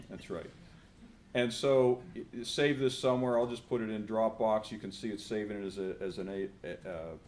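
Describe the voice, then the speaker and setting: A man at medium pitch with a Pittsburgh accent, ordinary pitch variation and audible room echo. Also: moderate pace. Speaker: professor. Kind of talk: conference presentation with live software demo.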